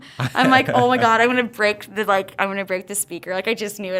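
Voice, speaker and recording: Over noticeable background noise, a woman speaks in an animated tone at a medium pitch with ordinary pitch variation. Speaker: gym owner and fitness instructor. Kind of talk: podcast interview chat. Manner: loud; fast, animated.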